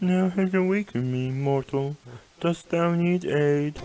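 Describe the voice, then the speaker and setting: The speaker uses a put-on character voice at a middle pitch. The pace is moderate. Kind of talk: archaic, formal. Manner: solemn, theatrical.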